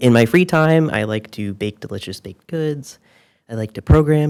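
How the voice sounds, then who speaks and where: The speaker is soft-spoken, with ordinary pitch variation at a fairly quick pace. The recording is very clean, with a silent background. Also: man. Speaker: software engineer, conference speaker. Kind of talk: conference talk. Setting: stage with audience.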